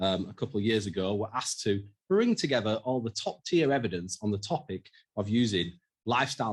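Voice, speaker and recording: A man in a strong Yorkshire accent talks at a fairly quick pace, his fairly low pitch showing ordinary pitch variation. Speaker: mental health researcher. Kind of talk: conference presentation.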